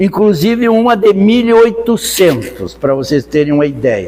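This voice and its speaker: A man is speaking. His intonation is lively. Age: 80s+. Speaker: spiritist lecturer. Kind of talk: lecture. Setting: spiritist center with audience.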